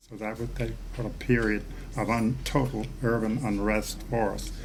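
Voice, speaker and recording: There is audible room echo around a man with a fairly low pitch. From Baltimore, US. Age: 80s+. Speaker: civil rights leader, former state treasurer. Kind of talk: interview.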